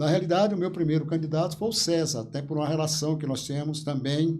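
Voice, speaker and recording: The tone is dark and mellow, delivered at a very fast pace. Room echo is audible. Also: man. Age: 70s. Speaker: local politician. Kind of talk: interview.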